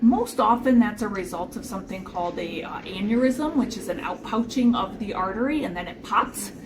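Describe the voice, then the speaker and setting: A woman speaks in an American accent at a fairly high pitch with ordinary pitch variation. Noticeable background noise runs underneath. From Chicago. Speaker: podcast host. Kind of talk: casual explanatory chat. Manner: fast; loud.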